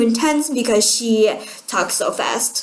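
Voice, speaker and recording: Over noticeable background noise, a woman speaks fairly slowly at a fairly high pitch. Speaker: student. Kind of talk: self-evaluation talk.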